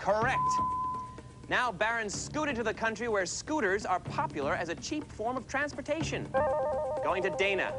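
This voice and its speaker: A man speaks at a moderate pace. Loud music plays in the background. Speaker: quiz show host. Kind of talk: game show hosting. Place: studio.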